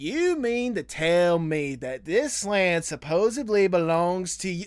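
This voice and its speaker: Putting on a character voice in a Southern accent, a man drawls at a fairly slow pace, with a high pitch and lively intonation. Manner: slow drawl.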